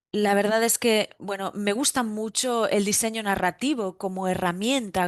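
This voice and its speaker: Against a quiet background, a woman speaks fairly slowly at a medium pitch with ordinary pitch variation. The sound is dry and close with no echo. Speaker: digital artist. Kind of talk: panel presentation. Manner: halting, many fillers.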